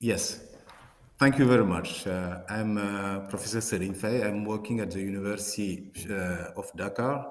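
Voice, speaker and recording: Speaking with a French accent, a man keeps a fairly low pitch and fairly even intonation. His moderate pace comes through with audible room echo. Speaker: professor, water resource scientist. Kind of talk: conference presentation. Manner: hesitant, many fillers and repetitions.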